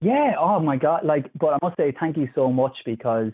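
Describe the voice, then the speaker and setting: Using ordinary pitch variation, a man with an Irish accent speaks in a fairly high pitch. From Ireland, Kilkenny. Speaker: physiotherapist. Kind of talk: casual chat. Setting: phone call.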